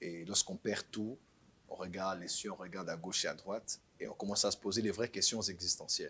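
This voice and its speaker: At a very fast pace, a man speaks with a fairly low pitch and a bright, sharp tone. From Benin (Cotonou). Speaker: pastor. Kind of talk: interview testimony. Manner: halting, repeats words.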